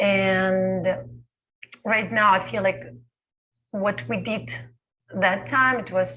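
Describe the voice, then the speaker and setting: The woman has a bright, sharp tone at a medium pitch. Vocal fry comes through in her voice. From Belarus. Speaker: dancer. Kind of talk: panel Q&A. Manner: halting.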